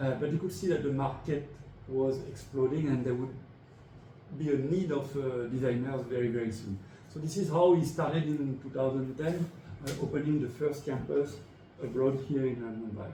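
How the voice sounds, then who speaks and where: In a room with audible echo, a man with a French accent talks at a moderate pace with ordinary pitch variation. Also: fairly high pitch for a man. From France. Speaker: design school head. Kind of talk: interview.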